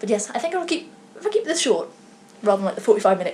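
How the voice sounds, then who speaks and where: Someone speaks very fast in a British accent over noticeable background noise. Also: woman. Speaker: knitting podcaster. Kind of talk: casual vlog chat. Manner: stuttering, slurred words.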